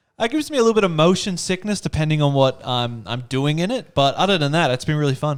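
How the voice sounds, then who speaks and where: Speaking very fast with hardly any pauses, an animated man with an Australian accent uses lively intonation at a fairly high pitch on a very clean recording with a silent background. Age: 20s. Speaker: co-host of church talk show. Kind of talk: casual chat.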